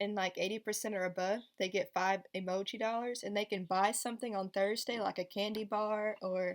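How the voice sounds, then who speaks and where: A woman with a plain, everyday voice speaks at a medium pitch with fairly even intonation, very even loudness and hardly any pauses. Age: 20s. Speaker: special education teacher. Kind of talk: casual vlog Q&A. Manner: casual, filler-heavy.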